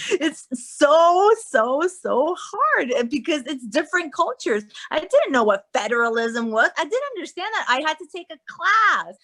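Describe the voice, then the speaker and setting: With a Spanish accent, a woman speaks in an extremely high, bright, sharp voice at a fairly slow pace with hardly any pauses. Her pitch swings very widely and her loudness swings a lot. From Guatemala. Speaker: actress and life coach. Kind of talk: casual chat.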